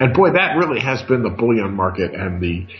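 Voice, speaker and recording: A plain, everyday voice from a man, fairly low in pitch, with light background noise. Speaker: radio show host, market analyst. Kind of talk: radio commentary.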